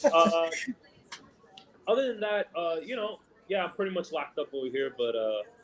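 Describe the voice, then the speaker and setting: With music in the background, a man with a high pitch and a New York accent talks at a moderate pace, his pitch swinging very widely between long, frequent pauses. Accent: heavy New York. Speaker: sports podcast host. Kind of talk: casual chat. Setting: live stream watch party. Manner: casual, filler-heavy.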